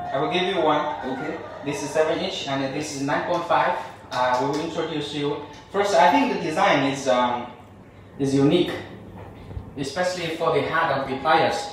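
A man speaks at a moderate pace, leaving long, frequent pauses. Strong room echo and light background noise fill the recording. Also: ordinary pitch variation. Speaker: presenter. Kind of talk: product demonstration. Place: studio.

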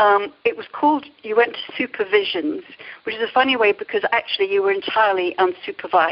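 At a fairly quick pace, a woman speaks at a medium pitch. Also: ordinary pitch variation.

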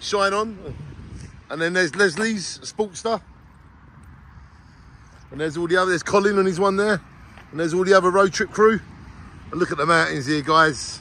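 Raising and projecting his voice, a man talks at a fairly quick pace with ordinary pitch variation and a dry sound with no echo. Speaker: motorbike road trip vlogger. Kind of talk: casual vlog chat. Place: street. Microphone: phone near.

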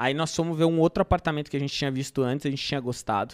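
A man with fairly high pitch and ordinary pitch variation speaks over a quiet background. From São Paulo, Brazil. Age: 30s. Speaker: marketplace entrepreneur; podcast guest. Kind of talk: casual interview storytelling. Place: studio. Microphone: studio mic.

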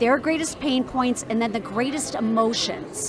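A woman speaks in a high voice with ordinary pitch variation, the sound dry with no echo and noticeable background noise. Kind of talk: interview answer. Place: hall. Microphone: handheld.

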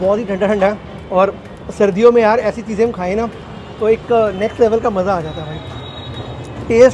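A man's high-pitched voice at a moderate pace, with ordinary pitch variation and light background noise. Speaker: food vlogger. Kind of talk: casual vlog chat. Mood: cheerful, enthusiastic. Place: street. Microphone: lapel.

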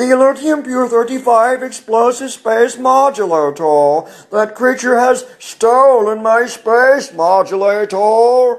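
A man puts on a character voice pitched extremely high, going at a fairly slow pace with hardly any pauses. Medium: voice reel. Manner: polite, prim, calmly indignant.

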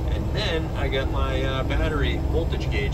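Loud background noise accompanies a man's speech. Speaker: vehicle owner vlogger. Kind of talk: casual vlog chat. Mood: relaxed, upbeat. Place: car. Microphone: phone near.

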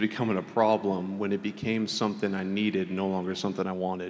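Here a man talks at a fairly quick pace with a fairly low pitch. He has a normal speaking voice and fairly even intonation. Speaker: recovered addict. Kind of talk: testimony. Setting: church.

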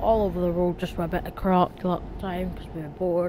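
A woman with a Scottish accent talks at a fairly quick pace in a fairly low pitch. Noticeable background noise runs under her voice. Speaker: gaming YouTuber. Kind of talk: casual gameplay commentary.

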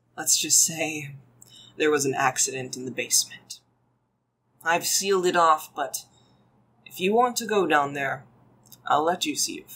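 A put-on character voice, rumbling at a middle pitch, moves at a moderate pace with long, frequent pauses. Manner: grim, guarded, ominous.

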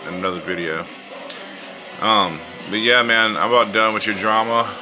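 Faint music plays behind a man speaking at a fairly quick pace. His pitch is fairly low with ordinary variation. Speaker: vlogger. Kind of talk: casual vlog chat. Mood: fed up, annoyed. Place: home room. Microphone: phone near.

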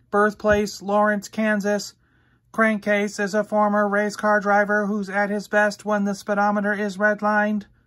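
Using a put-on character voice, a woman speaks at medium pitch with monotone, flat intonation. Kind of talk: reading out a database entry.

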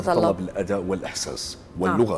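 A man talking at a fairly quick pace with very wide pitch swings, music playing in the background. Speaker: voice-over artist and trainer. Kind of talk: TV morning show interview answer. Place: studio. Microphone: lapel.

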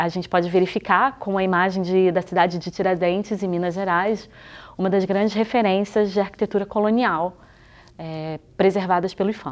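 Speech comes at a moderate pace with fairly even intonation. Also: woman. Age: 40s. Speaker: museologist and historian teaching a workshop; presenter. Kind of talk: scripted video lecture.

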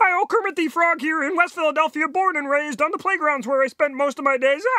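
In a put-on character voice, a man speaks at an extremely high pitch and a very fast pace. Light background noise sits behind him. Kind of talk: comic impression. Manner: chipper, friendly.

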